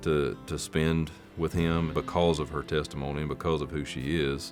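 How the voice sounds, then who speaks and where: A man with a very deep, low pitch and a Southern US accent, at a moderate pace with fairly even intonation and music in the background. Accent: Southern American. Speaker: country music singer. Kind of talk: interview answer.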